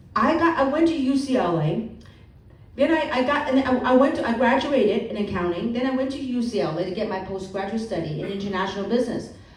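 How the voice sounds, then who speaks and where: Very fast and animated, a woman speaks with a fairly high pitch and lively intonation, with audible room echo and noticeable background noise. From Hong Kong, moved to the US as a child. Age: 50s. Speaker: motivational speaker. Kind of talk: seminar talk.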